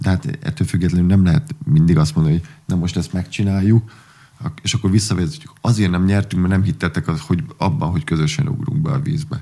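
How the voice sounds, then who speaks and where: A man with a very deep, low pitch and very wide pitch swings at a very fast pace, over noticeable background noise. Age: 40s. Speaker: water polo coach, former player. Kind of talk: casual interview chat.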